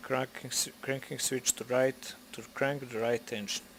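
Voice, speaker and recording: A man speaks at a moderate pace with a non-native accent. His pitch is medium and his intonation fairly even. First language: not English. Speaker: flight simulator video creator. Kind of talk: tutorial. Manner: halting.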